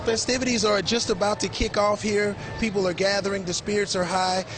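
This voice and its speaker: Music plays underneath as a man delivers his words at a moderate speed. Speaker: TV news reporter. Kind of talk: TV news report.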